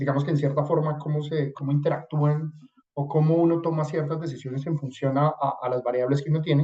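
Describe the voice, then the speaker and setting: A man's fairly high, somewhat breathy voice, dark and mellow in tone, monotone and flat, at a fairly quick pace. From Colombia. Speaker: supply chain consultant. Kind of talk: webinar presentation. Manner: hesitant, many fillers.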